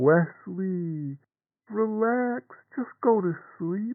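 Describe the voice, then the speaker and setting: Pitched high, a man does a put-on character voice. The pace is very slow. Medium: audio drama. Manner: calm, gentle, reassuring.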